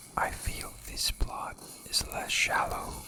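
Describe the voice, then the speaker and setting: A very slow whisper in a calm tone, over noticeable background noise. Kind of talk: ASMR video game review. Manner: whispered; soft-spoken, calm.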